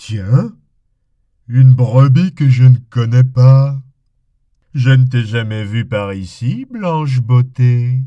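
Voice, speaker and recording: Putting on a character voice, a man at medium pitch speaks at a very slow pace with long, frequent pauses. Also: ordinary pitch variation. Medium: read story.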